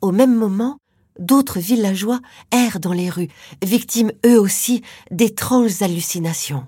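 Recorded very cleanly against a silent background, a woman speaks at a fairly slow pace in a somewhat breathy voice with a dark, mellow tone and ordinary pitch variation. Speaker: podcast narrator. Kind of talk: true-crime narration. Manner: suspenseful, hushed, dramatic; measured, slow-paced storytelling.

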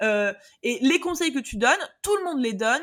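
Her voice high in pitch, a woman speaks with lively intonation and an energetic tone. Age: 20s. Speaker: online business coach. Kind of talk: casual interview.

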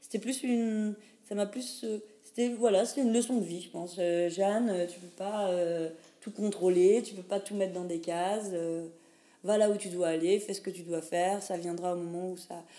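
Her loudness swinging widely, a woman at a medium pitch speaks at a moderate pace with fairly even intonation and long, frequent pauses. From France, Lorraine (Pont-à-Mousson). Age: 30s. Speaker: cultural mediator. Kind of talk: casual interview. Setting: coworking space.

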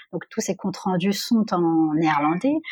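Over a quiet background, a woman with a normal speaking voice and fairly low pitch talks at a moderate pace with ordinary pitch variation. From Normandy, France. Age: 30s. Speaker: HR assistant. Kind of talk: testimony.

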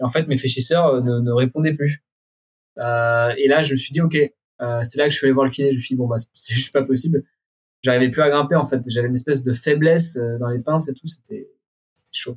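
Somewhat breathy, a man talks at a medium pitch. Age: 20s. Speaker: urban climber. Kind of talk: casual interview.

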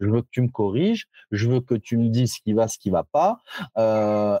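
Dark and mellow in tone, a man speaks at a very slow pace. The sound is dry and close with no echo. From France, Lyon area (Givors). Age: 30s. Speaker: fitness coach and trainer. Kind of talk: casual interview. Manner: frequent repetitions and hesitations.

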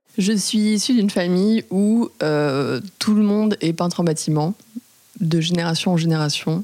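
A woman with an unremarkable speaking voice talks at a fairly slow pace in a medium pitch, with ordinary pitch variation and very even loudness. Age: 20s. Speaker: house painter. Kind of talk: testimony.

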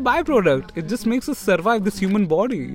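Noticeable noise fills the background while a man speaks at a moderate pace. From India, Mumbai. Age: 20s. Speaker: doctor and writer. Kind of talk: casual interview conversation.

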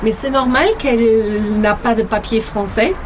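Music plays behind a woman speaking at a very slow pace. Her pitch is fairly high. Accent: German. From Germany. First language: German (speaking French). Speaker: hotel worker. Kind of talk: interview. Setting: outdoors.

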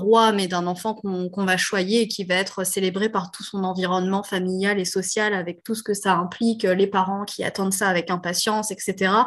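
In a monotone, flat delivery, a woman speaks at a moderate pace and medium pitch. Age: 30s. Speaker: entrepreneur, co-founder of a postpartum gift brand. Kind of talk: interview.

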